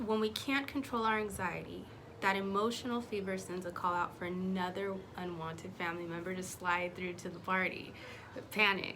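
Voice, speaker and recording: A woman's calm tone at medium pitch, with audible room echo. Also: ordinary pitch variation, moderate pace. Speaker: faith vlogger. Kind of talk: casual talk to camera.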